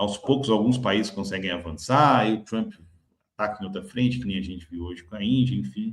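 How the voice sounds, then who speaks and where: A man's fairly low voice, vocal fry and lively intonation. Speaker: market commentary host. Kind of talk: market commentary video.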